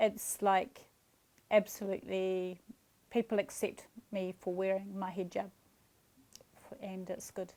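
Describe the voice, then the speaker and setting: A woman with a New Zealand accent speaks at a fairly slow pace. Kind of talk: interview answer.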